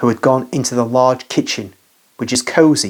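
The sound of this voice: An unforced reading voice with fairly even intonation is heard against a quiet background.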